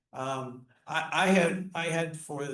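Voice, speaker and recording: A man speaks with audible room echo. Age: 60s. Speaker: orchestra conductor, music educator, Parkinson's patient. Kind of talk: casual interview chat. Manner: halting, many repetitions and fillers.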